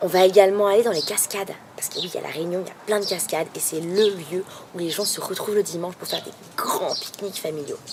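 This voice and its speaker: A woman at a medium pitch and fairly quick pace, over noticeable background noise. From metropolitan France, Nantes. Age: 20s. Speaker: language student and travel blogger. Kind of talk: video blog introduction. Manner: hesitant, many fillers.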